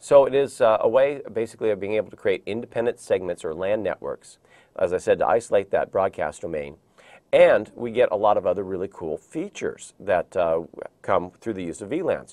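A man's fairly quick speech comes through over a quiet background. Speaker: IT training instructor. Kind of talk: lecture. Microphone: lapel.

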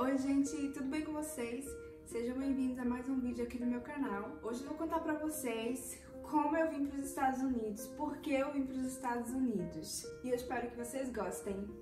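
Over clear background music, a woman with a high voice talks at a moderate pace with ordinary pitch variation. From Recife, Pernambuco, Brazil. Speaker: former au pair, vlogger. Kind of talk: casual talk to camera, personal story. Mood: warm, animated storytelling. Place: home room. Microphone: phone near.

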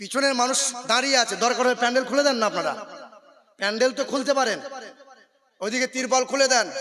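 A man speaks in a raised, projected voice at an extremely high pitch. His tone is animated. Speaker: Islamic preacher. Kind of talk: sermon. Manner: loud.

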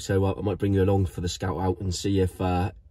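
A somewhat breathy voice with a dark, mellow tone against a quiet background. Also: man. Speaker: surf van-life vlogger. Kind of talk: casual vlog chat. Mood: a bit hungover but cheerful. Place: car. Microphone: phone near.

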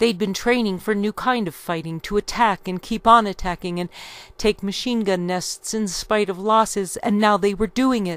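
A woman speaks at a moderate pace with fairly even intonation. The sound is dry, with no echo. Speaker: history reader. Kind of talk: reading aloud from a book. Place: home room. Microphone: studio mic.

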